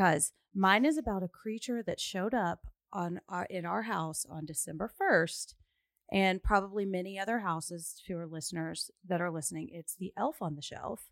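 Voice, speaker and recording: In a put-on character voice, a raspy woman speaks at a moderate pace and medium pitch with ordinary pitch variation, the sound dry and close with no echo. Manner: conspiratorial, secretive.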